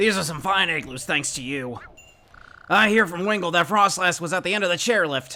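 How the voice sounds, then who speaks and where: Using a put-on character voice pitched high for a man, a man speaks at a fairly quick pace. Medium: game stream.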